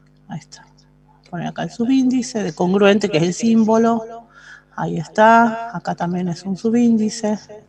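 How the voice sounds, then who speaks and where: A woman speaks at a moderate pace in a fairly high pitch with ordinary pitch variation and big swings in loudness. She has an unremarkable speaking voice. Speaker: math teacher. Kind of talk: lecture.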